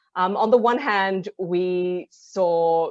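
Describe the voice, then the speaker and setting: Medium-pitched female speech in an Australian accent. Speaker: impact investor, fund partner. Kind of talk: webinar presentation. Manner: many filler ums.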